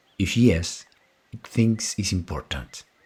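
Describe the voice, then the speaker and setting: A man's calm, very slow speech with vocal fry and ordinary pitch variation. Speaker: psychiatrist and psychotherapist. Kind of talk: educational monologue.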